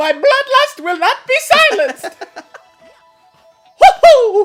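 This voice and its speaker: In a put-on, squeaky character voice with an Italian accent, the speaker goes at a fairly slow pace with an extremely high pitch and very wide pitch swings while faint music plays in the background. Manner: bloodthirsty, screaming.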